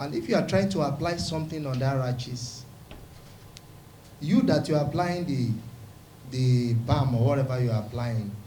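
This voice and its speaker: A medium-pitched male voice with long, frequent pauses and audible room echo. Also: ordinary pitch variation, moderate pace. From Nigeria, Rivers State (Niger Delta). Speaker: pastor and community leader. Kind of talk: press conference statement.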